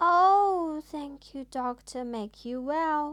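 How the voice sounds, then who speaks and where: A woman's put-on character voice, squeaky and high-pitched, raised and projected, very slow, with lively intonation. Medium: read story.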